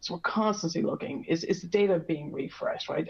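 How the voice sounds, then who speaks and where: Very fast speech over noticeable background noise. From Ireland. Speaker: industry expert presenter. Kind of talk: webinar presentation. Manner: many filler words and restarts.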